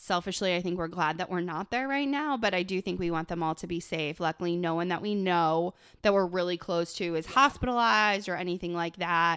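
A woman with an unremarkable speaking voice and an American accent talks at a fairly quick pace with hardly any pauses and ordinary pitch variation, on a very clean recording with a silent background. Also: fairly low pitch for a woman. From Buffalo, New York. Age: 30s. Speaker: podcast co-host, business owner. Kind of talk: casual chat.

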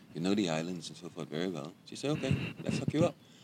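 A man talks at a very fast pace. He has a Bahamian accent. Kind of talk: casual interview chat.

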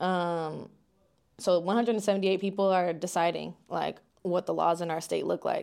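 A woman with an American accent speaks at a fairly low pitch in a monotone, flat intonation. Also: very clean recording, silent background. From Southern Illinois. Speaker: policy manager at a voting advocacy group. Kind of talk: casual interview chat.

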